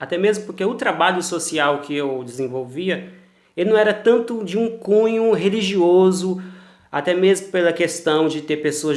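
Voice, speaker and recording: A high-pitched man at a moderate pace. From Brazil, Mato Grosso do Sul (Campo Grande). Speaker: cultural producer, former pastor. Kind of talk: interview. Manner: formal.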